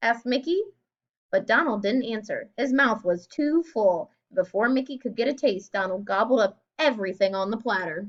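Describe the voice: A woman speaks at a moderate pace and medium pitch. Her intonation is lively.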